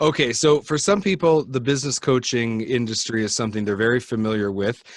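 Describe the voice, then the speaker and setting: A man speaks at a fairly quick pace in an unremarkable speaking voice. His pitch is medium, with ordinary pitch variation. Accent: Canadian. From Canada. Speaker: podcast host. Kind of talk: interview.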